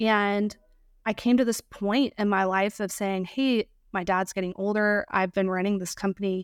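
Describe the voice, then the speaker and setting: An unremarkable speaking voice with fairly even intonation in a dry, close sound with no echo. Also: woman, very clean recording, silent background. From US South, Georgia and Virginia. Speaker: short-term rental property manager and coach. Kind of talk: podcast interview.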